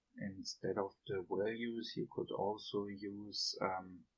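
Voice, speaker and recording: Speaking very slowly, this man has a non-native accent. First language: not English. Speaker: game developer tutor. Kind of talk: software tutorial narration.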